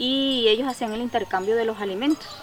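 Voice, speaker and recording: A woman with a fairly high pitch and ordinary pitch variation speaks fairly quickly, with noticeable background noise underneath. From Colombia, Caribbean region (Cesar). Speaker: artisan and community association leader. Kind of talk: testimony.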